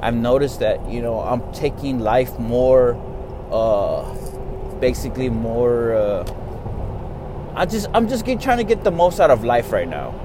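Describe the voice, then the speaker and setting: Speaking very slowly with an American accent, a man is heard amid noticeable background noise and audible room echo. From Texas. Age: 30s. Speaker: podcaster. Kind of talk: casual monologue. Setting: in a car. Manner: casual, rambling with fillers.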